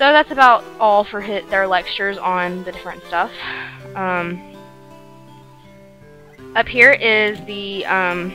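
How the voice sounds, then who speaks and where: Music plays in the background as a woman with a medium-pitched voice speaks at a fairly slow pace, with long, frequent pauses and big swings in loudness. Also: ordinary pitch variation. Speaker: let's play gamer. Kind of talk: casual let's play commentary. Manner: hesitant, filler-heavy.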